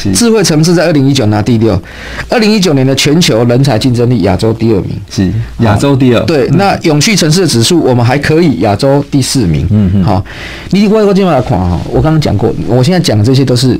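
A man at a fairly quick pace, with very wide pitch swings and very even loudness. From Taiwan. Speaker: city government adviser; radio guest or host. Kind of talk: casual chat. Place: studio. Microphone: studio mic.

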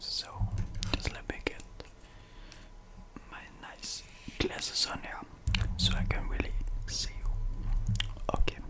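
At a fairly slow pace with long, frequent pauses, a man speaks over noticeable background noise. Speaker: ASMR content creator. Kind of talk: ASMR roleplay ear cleaning, speaking to the listener. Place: home room. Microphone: studio mic.

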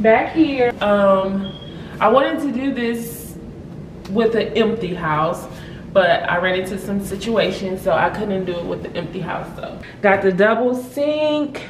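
Light background noise and audible room echo surround a woman speaking at a fairly slow pace with ordinary pitch variation. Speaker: homeowner vlogger. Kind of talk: casual vlog house tour. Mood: excited, happy. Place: home room. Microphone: phone near.

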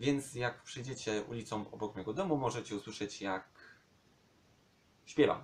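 His voice has a somewhat breathy sound. The man's pitch sits in the medium range. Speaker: vlogger. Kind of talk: casual vlog monologue.

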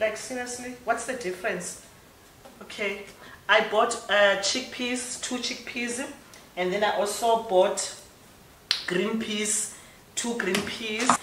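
In a South African accent, a woman speaks slowly at medium pitch with a fairly bright tone. Her intonation is fairly even, and the room echo is audible.

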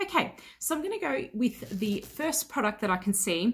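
Somewhat breathy, a woman speaks with very wide pitch swings. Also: quiet background. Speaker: beauty vlogger. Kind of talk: casual vlog chat. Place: home room.

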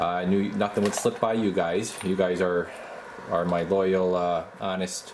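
Noticeable background noise accompanies a man speaking at a fairly slow pace in a very deep, low pitch with ordinary pitch variation. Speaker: radio equipment reviewer. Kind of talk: casual tutorial commentary. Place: workshop. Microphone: phone near.

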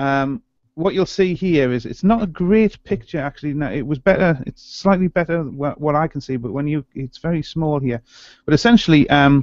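Against a quiet background, a man talks at a moderate pace with ordinary pitch variation and a dry sound with no echo. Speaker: podcast co-host. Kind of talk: explanatory commentary. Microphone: video call.

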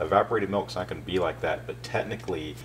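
A man rattles along at a very fast pace over noticeable background noise. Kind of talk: tutorial. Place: kitchen. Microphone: camera far.

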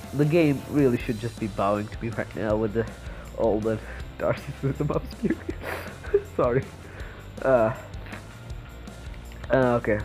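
With music in the background, a man at medium pitch speaks with long, frequent pauses. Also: lively intonation, moderate pace. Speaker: gaming commentator. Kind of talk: casual gameplay commentary. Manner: sarcastic, mock-boastful.

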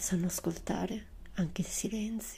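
Her tone is dark and mellow, with vocal fry. The woman keeps a fairly even intonation at a fairly slow pace. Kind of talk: poetry reading. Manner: soft-spoken.

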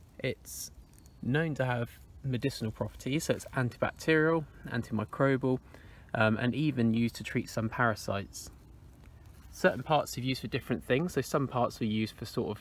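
A man talks at a fairly quick pace with ordinary pitch variation. The sound is dry, with no echo. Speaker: nature walk guide. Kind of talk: casual nature walk commentary. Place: forest. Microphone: phone near.

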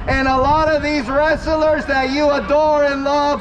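Over noticeable background noise, a man talks at an extremely high pitch. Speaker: street preacher. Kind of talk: street preaching to a crowd. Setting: outdoors. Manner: loud, emphatic, repetitive.

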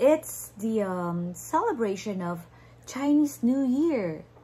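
This woman's somewhat breathy voice has a dark, mellow tone and very wide pitch swings. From Philippines. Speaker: online entrepreneur; online business vlogger. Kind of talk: livestream sales talk. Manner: hesitant, many fillers. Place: home room. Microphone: phone near.

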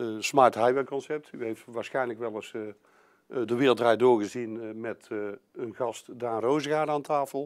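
Fairly even intonation at a moderate pace over a quiet background. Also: man. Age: 50s. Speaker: construction company sales manager. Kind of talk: business presentation. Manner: halting, many filler sounds. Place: meeting room.

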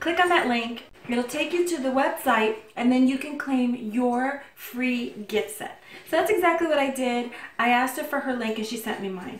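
In a room with audible echo and light background noise, a woman speaks at a moderate pace with a high pitch and ordinary pitch variation. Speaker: vlogger. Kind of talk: casual vlog chat. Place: kitchen. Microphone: phone near.

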